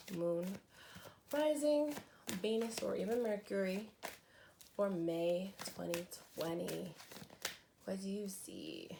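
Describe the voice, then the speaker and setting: Speaking very slowly with long, frequent pauses, a woman uses lively intonation at a medium pitch amid audible room echo. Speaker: tarot reader. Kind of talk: tarot reading. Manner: slow, with filler words.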